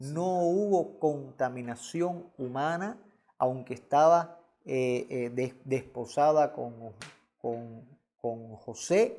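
A man speaks very slowly at a medium pitch, his dark, mellow tone carrying lively intonation. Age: 40s. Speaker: pastor teaching theology class. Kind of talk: lecture. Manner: halting.

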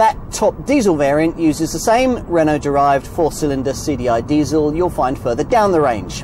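Over noticeable background noise, a man talks at a moderate pace with lively intonation, the sound dry with no echo. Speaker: motoring reviewer. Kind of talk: vehicle review commentary. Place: car. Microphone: lapel.

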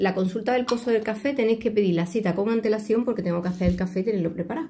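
A woman talks very fast in a dark, mellow tone over light background noise. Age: 50s. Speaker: tarot reader. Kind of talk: video tutorial with self-promotion. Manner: animated. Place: home room. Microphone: phone near.

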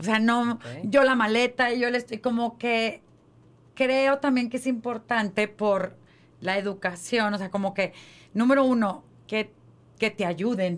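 Speaking at a fairly slow pace with long, frequent pauses, a woman uses a fairly high pitch and ordinary pitch variation. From Mexico. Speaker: podcast co-host. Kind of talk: casual chat. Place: studio. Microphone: studio mic.

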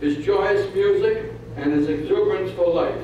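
Strong room echo and light background noise accompany a man speaking at a moderate pace. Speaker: presenter at a birthday ceremony. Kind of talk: ceremonial reading of an official citation. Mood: ceremonial and warm. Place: hall.

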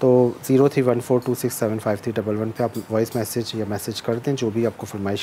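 Fast speech with a dark, mellow tone and ordinary pitch variation. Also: man.

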